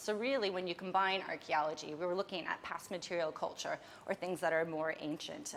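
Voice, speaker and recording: A woman's fairly low-pitched, normal speaking voice with an American accent, at a fairly quick pace. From United States. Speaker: archaeologist. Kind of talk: lecture. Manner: casual, with some false starts.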